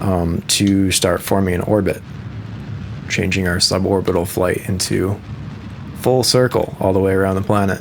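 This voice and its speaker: Over noticeable background noise, a man with an American accent and a very deep, low pitch speaks at a moderate pace in a monotone, flat way, with long, frequent pauses. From US Midwest. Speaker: musician and gamer. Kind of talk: casual gameplay commentary. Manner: casual, with filler words.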